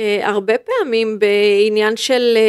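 The speaker is a woman with a fairly high pitch. The sound is dry and close, with no echo. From northern Israel (moshav in Western Galilee). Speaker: football club executive. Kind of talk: interview. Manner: halting, many fillers and restarts.

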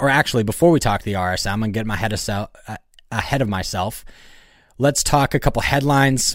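Speaking at a fairly quick pace, a man with an unremarkable speaking voice keeps a medium pitch and ordinary pitch variation. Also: very clean recording, silent background. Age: 20s. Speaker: golf podcast host. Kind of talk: casual chat.

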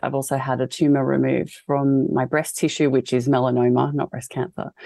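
Talking at a fairly quick pace, a woman with an Australian accent has a dark, mellow tone. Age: 30s. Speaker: fashion designer and cancer patient. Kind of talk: interview testimony.

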